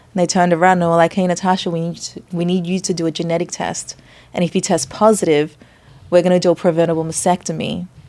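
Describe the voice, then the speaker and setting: A woman talks at a very fast pace with an Australian accent. Her pitch is fairly low and her intonation monotone and flat. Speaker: chef and nutritionist. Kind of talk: podcast interview.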